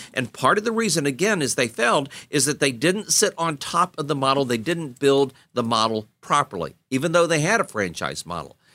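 Heard on a very clean recording with a silent background, a man with a fairly high pitch and a bright, sharp tone talks at a fairly quick pace, his voice showing vocal fry and very wide pitch swings. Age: 60s. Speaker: podcast host and business coach for home inspectors. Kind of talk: casual monologue on a business book. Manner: conversational with frequent filler words.

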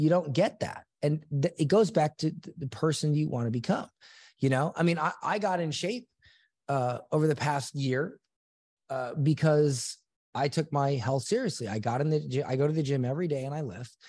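Over a quiet background, a somewhat breathy man with an American accent talks at a moderate pace in a fairly high pitch, with ordinary pitch variation. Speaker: entrepreneur and author. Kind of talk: interview.

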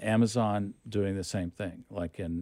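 A man speaks with a dark, mellow tone at a fairly low pitch, his intonation fairly even. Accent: American. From Oklahoma City. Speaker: film executive. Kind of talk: interview.

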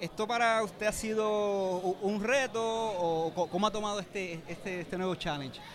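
High-pitched man, ordinary pitch variation, hardly any pauses. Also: moderate pace. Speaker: gaming journalist, interviewer. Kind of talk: interview. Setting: convention center event.

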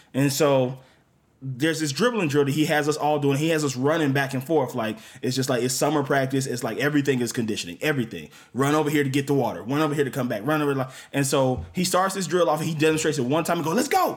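A man speaks at a very fast pace and fairly high pitch, with ordinary pitch variation. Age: 30s. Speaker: comedian. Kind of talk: casual chat.

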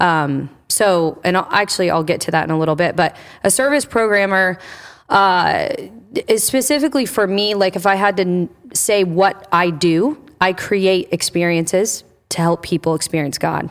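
A woman's medium-pitched voice at a moderate pace, with ordinary pitch variation, very even loudness, and a very clean recording with a silent background. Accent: Midwestern American. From Indiana. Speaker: church service programming director. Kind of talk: interview.

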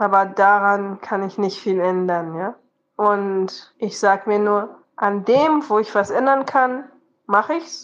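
This woman talks very slowly at a medium pitch, her pitch varying in an ordinary way. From Rwanda and Benin. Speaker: fish farming adviser. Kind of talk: voice messages.

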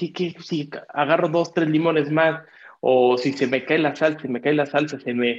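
His intonation is fairly even. The man's voice sits at a fairly high pitch. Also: moderate pace. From Mexico City. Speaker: podcast co-host. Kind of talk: casual interview. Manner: halting, many repetitions.

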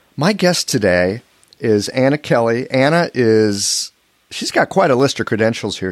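A man's normal speaking voice at medium pitch and moderate pace, with a dry, close sound and no echo. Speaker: podcast host and acupuncturist. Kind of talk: interview conversation.

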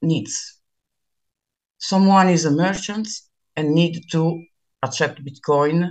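A woman speaks in a fairly low pitch. She has an Italian accent. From Milan, Italy. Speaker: bitcoin meetup organizer. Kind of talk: interview chat. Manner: halting, hesitant.

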